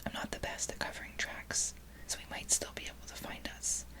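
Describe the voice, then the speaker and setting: A whisper moves along at a moderate pace. Behind it, background noise is noticeable. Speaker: ASMR creator. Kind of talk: whispered book reading. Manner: whispered.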